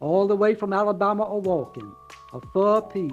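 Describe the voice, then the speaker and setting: Music plays behind a man speaking with a Southern US accent. His pitch is high and his pace moderate. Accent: Southern American. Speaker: novelist. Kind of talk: author reading own novel.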